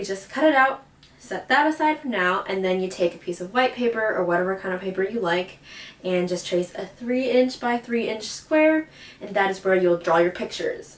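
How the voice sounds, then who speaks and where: Lively intonation marks this woman's medium-pitched voice. She speaks at a moderate pace over noticeable background noise. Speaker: DIY video creator. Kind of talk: casual tutorial voiceover. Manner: casual, filler words.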